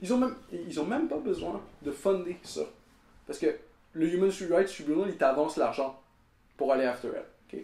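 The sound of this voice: With audible room echo around him, a man talks at a moderate pace in a fairly high pitch, his slightly mellow tone carrying vocal fry and lively intonation.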